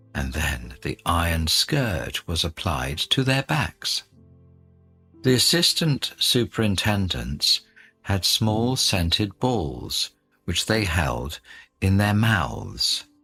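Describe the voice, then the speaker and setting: Over music in the background, a man with a fairly low pitch speaks at a very slow pace with very wide pitch swings, the sound dry and close with no echo. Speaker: radio host. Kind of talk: reading aloud. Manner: clear.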